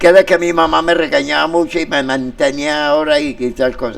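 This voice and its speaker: Noticeable background noise sits behind a man speaking at a moderate pace in a fairly high pitch. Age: 70s. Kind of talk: interview on community radio. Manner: animated.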